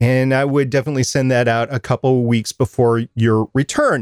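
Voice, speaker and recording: In a very clean recording with a silent background and a dry, close sound with no echo, a man of medium pitch talks at a moderate pace in an unremarkable speaking voice. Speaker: podcast co-host. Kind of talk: casual chat about podcasting tips.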